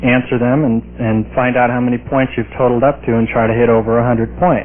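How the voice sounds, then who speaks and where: This man talks at a very fast pace with a medium pitch and very even loudness. His intonation is monotone and flat, with an American accent. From New York. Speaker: TV host demonstrating technology. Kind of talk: product demonstration.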